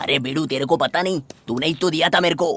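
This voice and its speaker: A put-on character voice at a middle pitch rattles along at a very fast pace. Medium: fan dub. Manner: excitable, exclamatory, keeps saying 'arre baba'.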